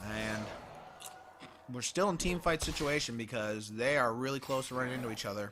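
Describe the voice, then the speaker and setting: A man with a medium pitch and ordinary pitch variation talks at a fairly quick pace. He takes long, frequent pauses. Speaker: esports caster. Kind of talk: live commentary. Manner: fast.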